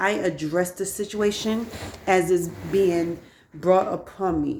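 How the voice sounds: A woman's fairly low voice with fairly even intonation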